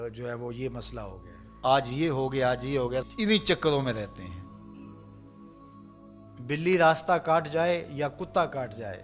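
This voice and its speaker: Backed by music, a man at medium pitch speaks with lively intonation and big swings in loudness. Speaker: Islamic preacher. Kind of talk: religious sermon (bayan).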